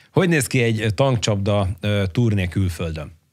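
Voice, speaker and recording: A man with an ordinary speaking voice and a fairly low pitch uses lively intonation over a quiet background. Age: 40s. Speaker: podcast co-host. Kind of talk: casual interview. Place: studio. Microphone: studio mic.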